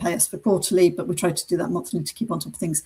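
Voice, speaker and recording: A dark, mellow, somewhat breathy voice with a British accent and ordinary pitch variation. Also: woman. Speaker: business coach for accountants. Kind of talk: webinar presentation. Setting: online webinar.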